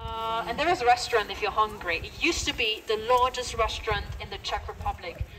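A woman speaks in an English accent. Noticeable background noise is present. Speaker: brewery tour guide. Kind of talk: guided tour. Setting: brewery tour.

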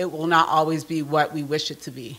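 A woman speaks with a very deep, low pitch. Her pace is moderate. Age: 40s. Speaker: nonprofit executive, keynote speaker. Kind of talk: keynote speech. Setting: stage with audience. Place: meeting room. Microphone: podium.

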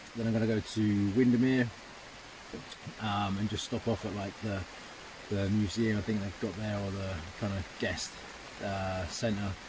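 A man with a fairly low pitch speaks at a moderate pace. The sound is dry with no echo, though noticeable background noise is present. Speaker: travel vlogger. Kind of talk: casual vlog chat. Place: tent. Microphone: phone near.

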